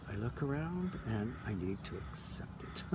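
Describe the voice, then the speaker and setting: A man's pitch swings very widely while audible room echo and noticeable background noise fill the recording. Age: 60s. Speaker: spiritual vlogger. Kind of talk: casual monologue. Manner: animated.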